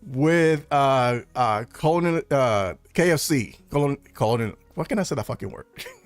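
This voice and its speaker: A man's fairly high voice with lively intonation, a moderate pace, and hardly any pauses, over music in the background. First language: Spanish. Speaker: film news streamer. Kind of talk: live stream chat. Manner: animated; halting.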